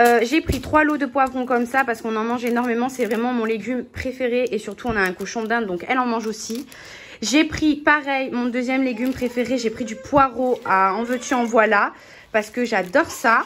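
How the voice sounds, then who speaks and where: A woman with a high pitch and fairly even intonation talks against noticeable background noise. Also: moderate pace. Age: 20s. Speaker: vlogger. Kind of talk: casual vlog narration. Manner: casual, with filler hesitations. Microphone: damaged mic, poor voiceover sound.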